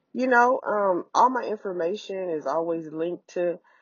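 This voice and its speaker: In an unremarkable speaking voice, a woman talks at a moderate pace with lively intonation. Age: 40s. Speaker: podcast host. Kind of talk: casual solo monologue. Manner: casual with frequent fillers.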